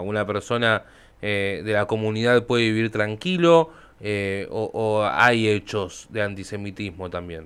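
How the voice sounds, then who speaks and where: A man with a fairly low pitch at a fairly slow pace, a plain, everyday voice. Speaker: radio host. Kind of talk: interview.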